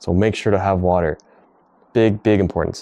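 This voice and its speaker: The man's tone is dark and mellow. His pitch sits fairly low. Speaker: fitness vlogger. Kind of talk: casual vlog. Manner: fast.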